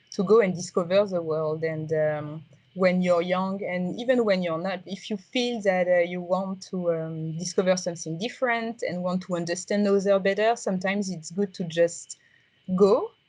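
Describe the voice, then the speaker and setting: A woman with a strong French accent, medium pitch and fairly even intonation, at a moderate pace against a quiet background. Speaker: tech startup founder. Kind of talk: interview. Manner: halting, many fillers.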